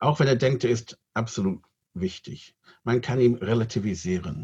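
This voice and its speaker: The speaker is a man with a somewhat breathy sound. He takes his words at a fairly unhurried pace. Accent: English. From Great Britain. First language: English (speaking German). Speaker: rabbi. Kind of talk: interview.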